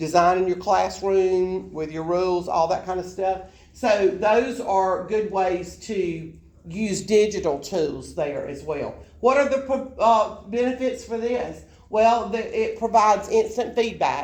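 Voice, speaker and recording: A woman with a South Alabama accent, medium in pitch, at a fairly slow pace with ordinary pitch variation, in a room with audible echo. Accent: Southern US, South Alabama dialect. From US South, South Alabama. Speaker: college education instructor. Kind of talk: lecture. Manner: conversational, informal.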